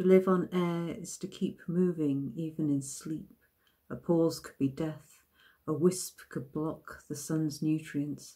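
A somewhat breathy, dark, mellow voice at a very slow pace, fairly even in intonation, against a quiet background. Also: woman, very deep, low pitch for a woman. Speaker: poet. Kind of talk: poetry reading, measured and deliberate.

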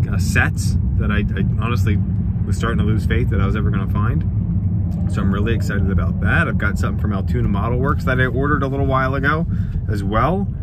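A man talks at a very fast pace. The sound is dry with no echo, but loud background noise is present. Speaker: hobby vlogger. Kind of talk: casual vlog chat. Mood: happy, upbeat. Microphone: phone near.

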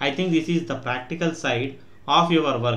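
A man with an unremarkable speaking voice talks at a moderate pace, fairly high in pitch with ordinary pitch variation. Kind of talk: shorthand dictation; read-aloud political speech. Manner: formal, even, dictation-style cadence.

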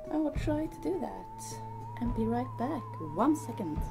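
A woman speaks over clear music playing in the background. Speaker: vlogger. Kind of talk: casual talk to camera. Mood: happy, pleased. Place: home room. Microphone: phone near.

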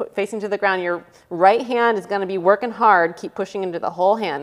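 A woman speaks at a moderate pace with an upbeat tone. Her pitch variation is ordinary, against a quiet background. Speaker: fitness instructor. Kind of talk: guided follow-along fitness class, cueing exercises. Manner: brisk, upbeat, rhythmic cueing with short imperative commands and counting; casual and encouraging, with self-deprecating asides. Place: home room.

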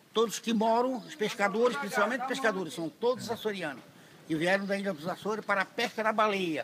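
The intonation is lively. Noticeable background noise sits behind the speech. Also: man. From Santa Catarina, southern Brazil. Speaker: fisherman. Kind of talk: interview answer. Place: street. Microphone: phone near.

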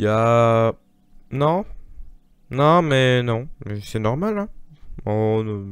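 The sound is dry with no echo as a man talks at a very slow pace. His pitch varies in an ordinary way, broken by long, frequent pauses. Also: medium pitch for a man, quiet background. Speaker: gaming youtuber; gamer streamer. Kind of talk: gameplay commentary. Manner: animated. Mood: frustrated, exasperated. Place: home room. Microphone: new microphone, no pop filter yet; studio mic.

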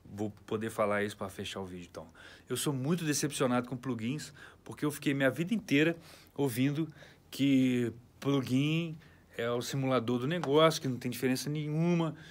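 At a moderate pace, a man with an ordinary speaking voice talks at a fairly high pitch with ordinary pitch variation and big swings in loudness. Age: 40s. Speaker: recording studio owner and producer. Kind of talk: studio tour tutorial. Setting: recording studio. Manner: casual, slangy. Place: studio. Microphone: phone near.

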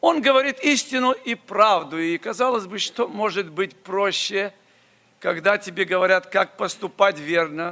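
A man with a high pitch projects a raised voice in a bright, sharp tone, speaking at a fairly slow pace with lively intonation. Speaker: preacher. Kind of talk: sermon. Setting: church. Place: church. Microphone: podium.

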